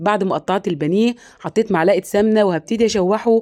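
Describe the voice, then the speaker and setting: The sound is dry and close with no echo as a woman with an Egyptian accent speaks in a dark, mellow tone, her pitch fairly high and its variation ordinary. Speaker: home cooking channel host. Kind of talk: cooking tutorial. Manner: chatty, direct to viewers.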